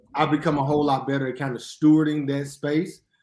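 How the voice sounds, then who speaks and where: With a Mississippi accent, a man talks at a fairly high pitch. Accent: Southern US (Mississippi). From US South, Jackson, Mississippi. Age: 30s. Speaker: history professor and minister. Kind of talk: podcast interview.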